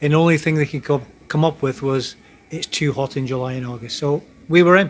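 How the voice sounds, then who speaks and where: With a Scottish accent, a man talks at a fairly quick pace and a fairly high pitch. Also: fairly even intonation. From Scotland. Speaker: military serviceman, future retiree. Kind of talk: casual chat. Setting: group gathering on a cruise ship.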